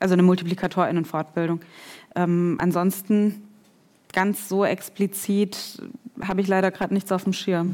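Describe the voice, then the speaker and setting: Speaking at a moderate pace with long, frequent pauses, a woman's medium-pitched voice stays monotone and flat. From Germany (came from Kazakhstan as a child in the mid-90s). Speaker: researcher and educator. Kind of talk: panel discussion. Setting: stage with audience.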